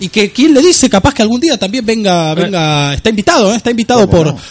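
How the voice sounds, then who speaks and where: Talking at a very fast pace, a man sounds animated, with very wide pitch swings. He speaks with a Rioplatense accent. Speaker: radio show host. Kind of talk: live radio talk.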